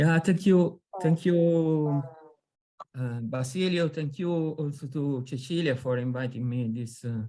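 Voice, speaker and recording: In an American accent, a man with a dark, mellow tone speaks at a fairly slow pace with ordinary pitch variation. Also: fairly high pitch for a man. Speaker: academic panelist. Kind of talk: academic presentation. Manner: hesitant, many fillers.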